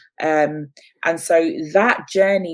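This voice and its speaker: Speaking very slowly with an English accent, a woman uses a very deep, low voice and fairly even intonation. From London, England. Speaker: business founder and media presenter. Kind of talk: interview.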